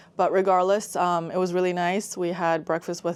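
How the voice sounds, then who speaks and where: An ordinary speaking voice from a woman with an American accent and a fairly low pitch, in a very clean recording with a silent background. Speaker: travel vlogger. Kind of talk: casual vlog narration. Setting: on a ferry.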